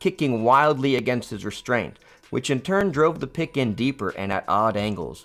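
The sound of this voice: An unforced reading voice is heard.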